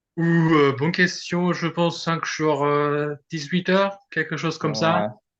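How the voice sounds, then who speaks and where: Very slowly, a man speaks at a fairly high pitch with fairly even intonation. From Germany, Berlin. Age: 20s. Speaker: ultra-endurance cyclist. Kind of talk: casual interview. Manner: halting.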